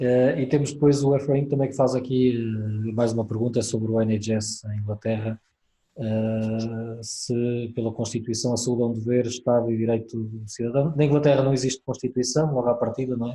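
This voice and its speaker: Speaking with a European Portuguese accent at a moderate pace, a man uses a medium pitch and a dark, mellow tone that is somewhat breathy, with monotone, flat intonation. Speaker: webinar moderator. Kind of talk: webinar moderation. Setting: video call webinar.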